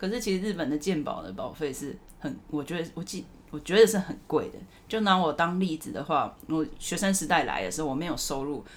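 A woman with a fairly low pitch talks at a fairly quick pace. Her intonation is lively. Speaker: podcast host. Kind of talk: casual chat. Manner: animated.

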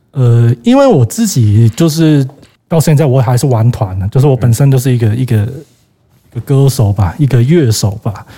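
The man's voice is somewhat breathy with a dark, mellow tone, moving at a moderate pace. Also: very even loudness. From Hong Kong. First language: Cantonese (speaking Chinese). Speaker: record label owner. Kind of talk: casual chat.

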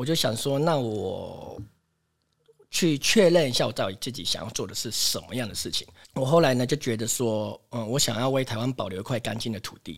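An unremarkable speaking voice comes from a man moving at a fairly quick pace with ordinary pitch variation. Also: medium pitch for a man. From Taiwan, Taipei. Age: 40s. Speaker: farmer. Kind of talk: interview.

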